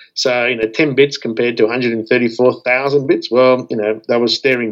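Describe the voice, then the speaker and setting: This man talks at a fairly quick pace with an Australian accent. His pitch is medium and his intonation fairly even. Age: 50s. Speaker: radio telescope operations scientist. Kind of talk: interview. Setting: video call.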